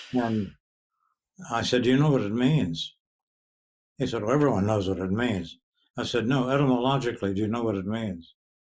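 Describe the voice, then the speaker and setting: A man talks at a fairly quick pace and medium pitch, with ordinary pitch variation and long, frequent pauses. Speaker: poet. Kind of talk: interview answer.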